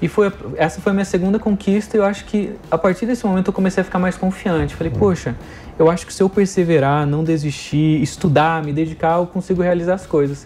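A man with a high pitch at a very fast pace. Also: ordinary pitch variation. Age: 30s. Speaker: education entrepreneur. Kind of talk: interview. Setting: studio.

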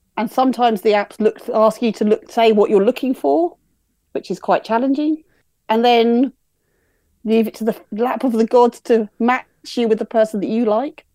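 A woman with an English accent at a moderate pace, fairly high in pitch with ordinary pitch variation and a dark, mellow tone, in a very clean recording with a silent background and a dry, close sound with no echo. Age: 40s. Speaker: podcast listener. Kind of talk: casual interview.

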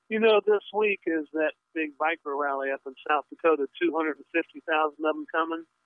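At a moderate pace with hardly any pauses, a man with an unremarkable speaking voice talks at a fairly high pitch with ordinary pitch variation. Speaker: radio caller. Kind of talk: call-in question. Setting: phone call.

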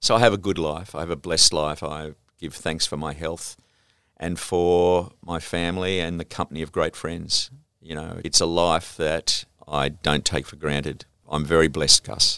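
A man with an Australian accent speaks at a moderate pace in a very deep, low pitch with a bright, sharp tone and fairly even intonation. His loudness swings a lot, and the recording is very clean with a silent background. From Sydney, Australia (St George area). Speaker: television and entertainment executive. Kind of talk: interview. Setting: office.

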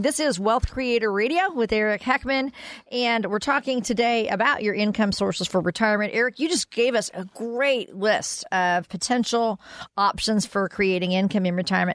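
A woman speaks at a fairly quick pace in an ordinary speaking voice. The sound is dry and close, with no echo. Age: 60s. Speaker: radio co-host. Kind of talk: radio show hosting.

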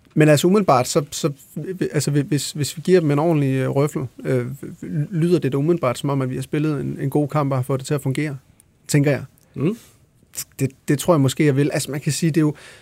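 A man with a fairly high pitch speaks at a fairly quick pace, with ordinary pitch variation. His speech is broken by long, frequent pauses. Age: 30s. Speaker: songwriter and musician. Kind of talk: casual chat.

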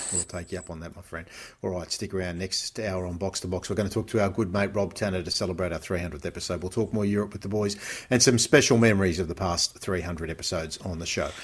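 Very fast and somewhat breathy, a man talks in a very deep, low pitch with fairly even intonation. The recording is very clean, with a silent background. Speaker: podcast host. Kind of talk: casual sports podcast hosting. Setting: studio.

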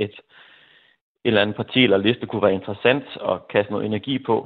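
A man is speaking. His pace is very fast. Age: 40s. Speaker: teacher, listener panelist. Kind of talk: radio phone-in discussion. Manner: halting.

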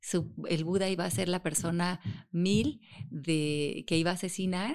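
A woman's normal speaking voice, fairly low in pitch with ordinary pitch variation, at a fairly slow pace over a quiet background. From Mexico. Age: 50s. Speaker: author and self-knowledge teacher. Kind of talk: interview.

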